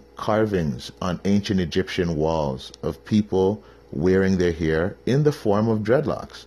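Speaking at a very slow pace, a man has a dark, mellow tone and a Canadian accent. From Canada. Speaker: podcast host. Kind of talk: casual monologue.

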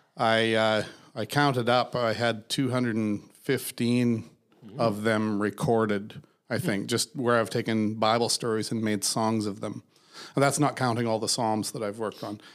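In an ordinary speaking voice, a man with an American accent and medium pitch talks at a moderate pace with fairly even intonation on a very clean recording with a silent background. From US. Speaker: podcast co-host and musician. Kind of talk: casual chat.

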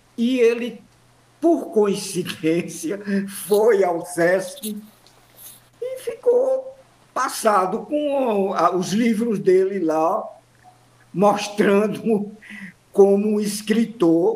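Speaking at a very slow pace with long, frequent pauses, a high-pitched man shows ordinary pitch variation amid noticeable background noise and audible room echo. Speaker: professor, actor and memorialist. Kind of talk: radio interview. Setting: remote online call.

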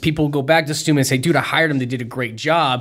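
Ordinary pitch variation in a very clean recording with a silent background. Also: man. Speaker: podcast co-host, speaker. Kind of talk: casual business podcast chat. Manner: fast talker.

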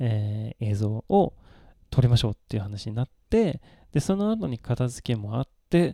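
With a dry, close sound and no echo, a man speaks at a moderate pace in a medium pitch, his intonation lively. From Sweden. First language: Swedish (speaking Japanese). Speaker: Japanese tea expert. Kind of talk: casual chat.

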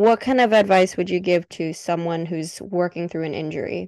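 A woman at medium pitch and a moderate pace, an ordinary speaking voice with ordinary pitch variation, over a quiet background. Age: 20s. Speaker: podcast host. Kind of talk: casual chat.

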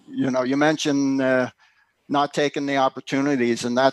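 Recorded dry and close with no echo, a man with an American accent speaks at medium pitch and a moderate pace in a monotone, flat intonation. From Philadelphia, US. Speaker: homesteader and author. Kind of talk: casual interview. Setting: remote link.

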